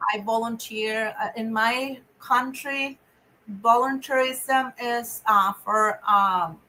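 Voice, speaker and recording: Speaking very slowly with a Spanish accent, a woman uses a fairly high pitch, fairly even intonation and a bright, sharp tone. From Venezuela. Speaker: nonprofit director. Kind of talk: interview. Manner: halting.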